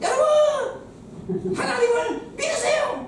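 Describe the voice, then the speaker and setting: Someone in a put-on character voice speaks at a very slow pace. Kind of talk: preaching.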